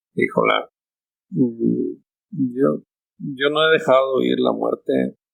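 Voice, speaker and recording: Keeping his loudness very even, a man speaks at a very slow pace. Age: 70s. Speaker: architect and company founder. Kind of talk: interview conversation. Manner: halting.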